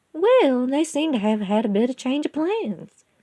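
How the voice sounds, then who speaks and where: A female-sounding voice is put on as a character at a high pitch. The pace is moderate. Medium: read story. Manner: folksy, firm.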